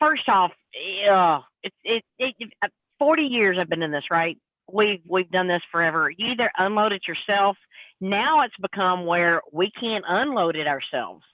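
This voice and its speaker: With lively intonation and a moderate pace, a woman talks in a plain, everyday voice of medium pitch. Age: 50s. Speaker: truck driver. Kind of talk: casual live panel chat.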